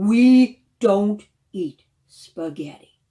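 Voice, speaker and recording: Gruff and growling, a woman puts on a character voice. Her pitch sits in the middle range. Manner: growling, gruff.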